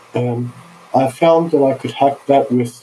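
A man at medium pitch and a very slow pace, with fairly even intonation and noticeable background noise. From Australia (Sydney), born in Turkey. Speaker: visionary artist. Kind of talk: casual chat.

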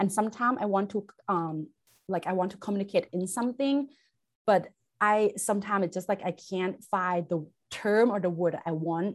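A woman with a Thai accent speaks at a medium pitch and a moderate pace, with ordinary pitch variation, against a quiet background. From Thailand. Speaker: chemistry instructor. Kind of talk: interview. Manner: halting, many fillers.

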